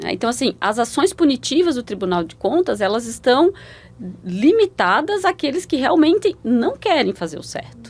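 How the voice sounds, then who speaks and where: A woman with a high voice talks at a middling speed, her pitch swinging very widely up and down. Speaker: public auditor. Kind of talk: interview. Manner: repeats syllables, halting starts.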